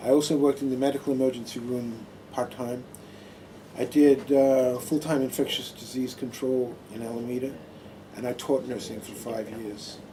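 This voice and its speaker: Over noticeable background noise, a man of medium pitch with an American accent talks at a moderate pace, his loudness swinging widely. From Australia, Adelaide. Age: 60s. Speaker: Buddhist monk and retired nurse. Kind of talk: talk to a small audience. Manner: halting, with many fillers.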